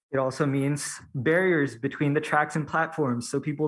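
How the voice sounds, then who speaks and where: Fairly even intonation and a moderate pace mark this very clean recording with a silent background. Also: man. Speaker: university student, public commenter. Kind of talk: public hearing testimony. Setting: public hearing, in person. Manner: hesitant, many fillers.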